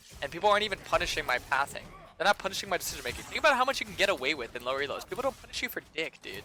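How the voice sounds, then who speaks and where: Music runs in the background. Over it, a man talks very fast. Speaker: game streamer. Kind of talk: live gameplay commentary with chat. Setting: live stream. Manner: hesitant, many fillers and repetitions.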